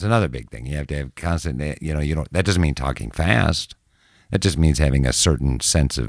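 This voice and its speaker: A man with an American accent, very deep and low in pitch, at a moderate pace. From Minnesota, Minneapolis. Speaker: TV news anchor. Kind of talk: casual interview.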